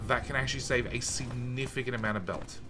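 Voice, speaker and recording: Loud and at a moderate pace, a man talks amid audible room echo. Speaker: video game streamer. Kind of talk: casual live-stream chat while gaming. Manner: casual, filler-heavy.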